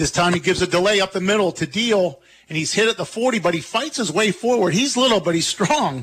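A man at high pitch, fairly quick pace, against noticeable background noise. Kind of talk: live play-by-play football commentary. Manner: brisk, clipped, steady play-by-play delivery.

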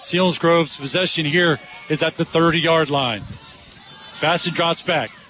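Over noticeable background noise, a man speaks in a high voice at a moderate pace with fairly even intonation. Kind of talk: live commentary.

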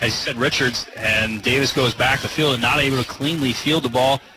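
Amid noticeable background noise, a man with a medium pitch talks at a moderate pace in an animated tone. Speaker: color commentator. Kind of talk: live sports color commentary, analysis between plays. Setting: stadium broadcast booth. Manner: conversational, animated, chatty analyst.

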